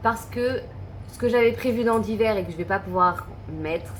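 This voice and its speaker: Music runs in the background. Over it, a woman's speech moves fairly slowly. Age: 30s. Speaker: budget vlogger. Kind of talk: casual talk to camera. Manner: hesitant, thinking aloud.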